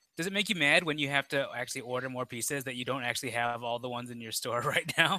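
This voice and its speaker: At a very fast pace with hardly any pauses, a man with an American accent speaks with ordinary pitch variation in a dry sound with no echo. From Chicago, US Midwest. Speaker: podcast co-host, toy collector; podcast co-host. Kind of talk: casual chat. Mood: cheerful and enthusiastic. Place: home room. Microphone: headset.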